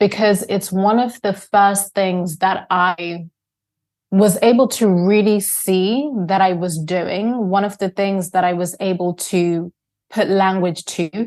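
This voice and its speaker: Against a quiet background, a woman at a medium pitch speaks at a very slow pace with fairly even intonation. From Zimbabwe, moved to UK at nine. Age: 30s. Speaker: coach and speaker. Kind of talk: interview. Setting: podcast interview.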